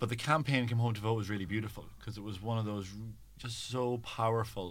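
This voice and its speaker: This man speaks with a Donegal Irish accent. His intonation stays fairly even. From Ireland, Donegal. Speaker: LGBT rights campaigner. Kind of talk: interview.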